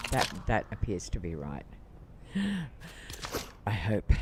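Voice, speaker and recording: The speaker is a man. He has an Australian accent. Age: 70s. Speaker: gaming streamer. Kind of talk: casual live-stream gaming commentary.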